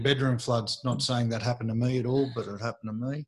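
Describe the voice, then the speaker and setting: With an Australian accent, a man speaks very fast at a medium pitch, his intonation fairly even. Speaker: real estate agent, podcast host. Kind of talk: casual chat.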